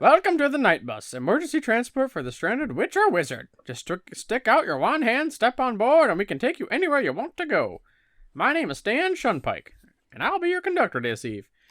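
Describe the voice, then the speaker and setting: A put-on character voice, high-pitched, at a fairly quick pace. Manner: cheery, welcoming.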